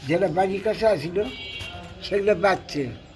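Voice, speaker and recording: A man's high voice, with ordinary shifts in pitch, comes through noticeable background noise. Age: 80s+. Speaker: elderly war witness. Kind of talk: interview answer, war memories.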